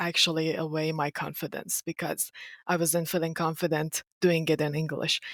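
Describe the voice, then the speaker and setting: A woman with a Persian accent, fairly low in pitch, at a moderate pace, recorded dry and close with no echo. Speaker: marketing competition winner. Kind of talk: interview.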